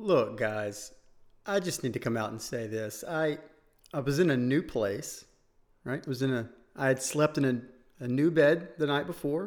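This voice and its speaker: This man has an ordinary speaking voice, fairly high in pitch, with lively intonation at a moderate pace. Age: 30s. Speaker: fitness podcast co-host. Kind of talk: casual chat.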